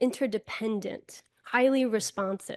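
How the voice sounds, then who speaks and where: In an American accent, a woman speaks with ordinary pitch variation, the sound dry and close with no echo over a quiet background. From US Northeast, Buffalo, New York. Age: 30s. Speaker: keynote speaker. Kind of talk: inspirational speech.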